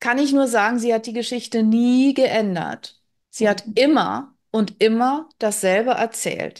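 A woman talks at a very slow pace with ordinary pitch variation over a quiet background. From Berlin. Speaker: spiritual author; interview guest. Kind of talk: interview. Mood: earnest, reflective. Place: home room. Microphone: video call.

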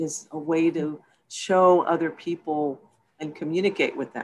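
In a Texan accent, a woman with a fairly low pitch speaks at a very slow pace against a quiet background. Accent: Texas American English. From Texas, San Antonio. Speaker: film producer. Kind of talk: interview.

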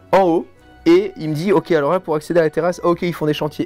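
Over faint background music, a man with a high pitch talks at a fairly quick pace with fairly even intonation. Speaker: guest youtuber. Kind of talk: casual storytelling chat. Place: studio.

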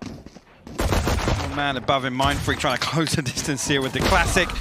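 The voice moves at a moderate pace with fairly even intonation, and noticeable background noise runs underneath. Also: man. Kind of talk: esports commentary, analytical co-caster. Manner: steadier, analytical, with occasional laughs.

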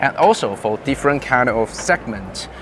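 Delivery moves at a moderate pace with ordinary pitch variation. Noticeable background noise runs underneath. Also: man. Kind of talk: interview answer. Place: hall. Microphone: lapel.

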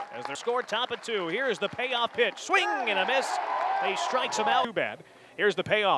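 Extremely high-pitched and raised to project, this man's excited, animated voice swings very widely in pitch. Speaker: baseball play-by-play announcer. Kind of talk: live baseball play-by-play commentary. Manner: rapid-fire, clipped and punchy, building to excited exclamations on big plays; animated, with a rising call on home runs and close plays.

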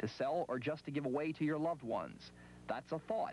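A man speaks with vocal fry. His pitch sits fairly high. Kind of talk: late-night infomercial sales pitch. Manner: emphatic, salesy.

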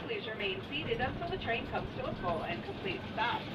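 The pace of speech is fairly quick. Loud background noise runs underneath. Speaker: zoo train tour guide. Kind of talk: scripted tour-guide narration over a train PA. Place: train.

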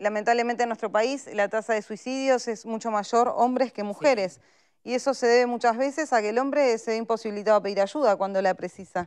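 With an ordinary speaking voice, a woman talks at a fairly quick pace and fairly high pitch with fairly even intonation against a quiet background. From Uruguay. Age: 30s. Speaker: politician. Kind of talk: panel discussion. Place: studio.

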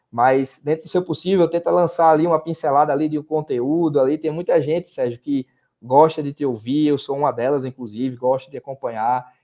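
A man's fairly high-pitched voice at a fairly quick pace, with ordinary pitch variation, hardly any pauses and a quiet background. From Brazil, Paraíba (Sapé, near João Pessoa); Paraíba, Brazil. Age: 30s. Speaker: sports betting tipster; podcast guest. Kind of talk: casual interview chat. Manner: halting, many fillers and repetitions. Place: home room. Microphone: earbuds.

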